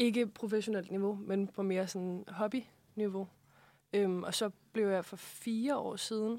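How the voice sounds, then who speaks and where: A woman with a medium-pitched voice speaks in a fairly even intonation. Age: 20s. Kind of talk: casual interview. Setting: studio.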